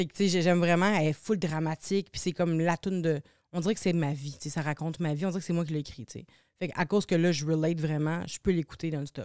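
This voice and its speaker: Pitched fairly low, a woman speaks at a very fast pace with fairly even intonation on a very clean recording with a silent background. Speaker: singer and TV personality. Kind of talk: casual chat. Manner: halting.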